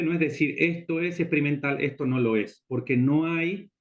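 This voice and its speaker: The man speaks at a fairly high pitch. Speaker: lecturer on experimental photography. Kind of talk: lecture. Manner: fast.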